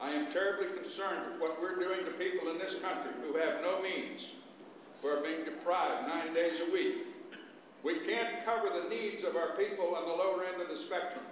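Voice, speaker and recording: Noticeable background noise and audible room echo fill the clip. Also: man, high pitch for a man, ordinary pitch variation, moderate pace. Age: 70s. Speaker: audience member at panel discussion. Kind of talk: impassioned public comment. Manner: animated.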